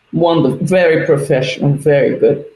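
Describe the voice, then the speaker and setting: This is a woman speaking. Her pitch is very deep and low. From Brazil. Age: 60s. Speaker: photographer. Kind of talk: interview.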